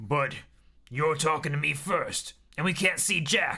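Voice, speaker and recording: A man puts on a gruff, raspy character voice with a stern tone and a fairly high pitch. He speaks at a fairly slow pace with very even loudness. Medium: read story. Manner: gruff, stern.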